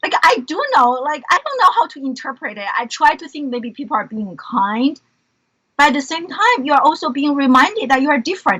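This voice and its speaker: A woman speaks in a Chinese accent at a high pitch and moderate pace, with very wide pitch swings. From China, Beijing. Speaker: educator and entrepreneur. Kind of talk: interview conversation.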